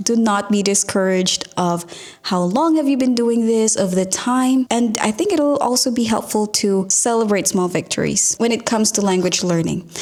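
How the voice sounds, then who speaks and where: Over noticeable background noise, a woman with a fairly high voice talks at a moderate pace with hardly any pauses, very even loudness and ordinary pitch variation. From Philippines. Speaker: podcast host. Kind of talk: podcast advice monologue. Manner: warm, encouraging.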